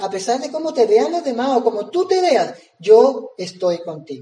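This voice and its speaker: A man's animated, lively-intoned speech at a fairly slow pace. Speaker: preacher. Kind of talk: sermon, preaching with prayer. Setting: church. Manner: animated, rhetorical questions, conversational; earnest, pausing and repeating phrases.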